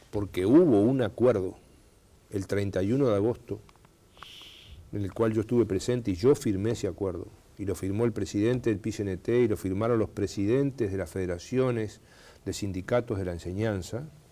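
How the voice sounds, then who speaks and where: A man's fairly low, dark and mellow voice at a fairly quick pace, with ordinary pitch variation. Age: 60s. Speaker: government minister. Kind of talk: TV interview. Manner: hesitant with fillers.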